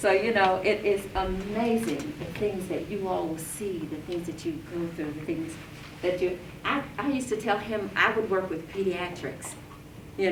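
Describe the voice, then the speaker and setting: Over noticeable background noise and audible room echo, a woman with a fairly low pitch speaks at a moderate pace with ordinary pitch variation. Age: 60s. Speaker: nonprofit co-founder and heart health advocate. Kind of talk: talk to an audience. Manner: halting.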